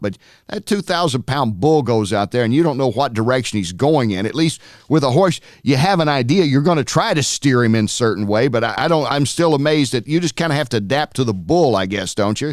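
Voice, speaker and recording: A man's plain, everyday voice at medium pitch, with lively intonation and a fairly quick pace. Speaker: TV host of a horse racing show. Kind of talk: interview host, conversational.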